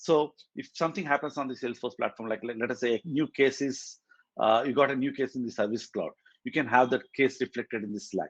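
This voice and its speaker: A man talks very fast at a medium pitch, the sound dry and close with no echo and the background quiet. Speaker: tech community meetup organizer and speaker. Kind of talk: technical presentation. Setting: hybrid meetup, in person and online.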